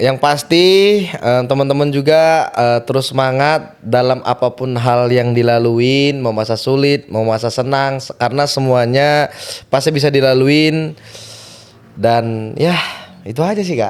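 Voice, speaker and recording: The pitch of this man's voice is medium and varies in an ordinary way. He talks fairly slowly. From Binjai, North Sumatra, Indonesia. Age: 20s. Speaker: athlete. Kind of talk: podcast interview.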